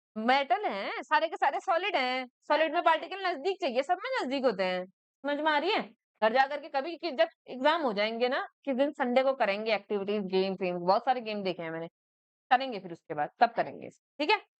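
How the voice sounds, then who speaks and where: A woman speaks at a high pitch. Her pitch swings very widely, and her loudness swings a lot too. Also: moderate pace. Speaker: school teacher. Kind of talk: classroom lecture. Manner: conversational, checks understanding often.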